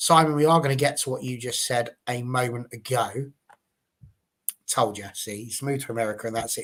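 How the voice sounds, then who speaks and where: Fairly quick male speech in an English accent, with fairly even intonation. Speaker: football fan show host. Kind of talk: live panel discussion.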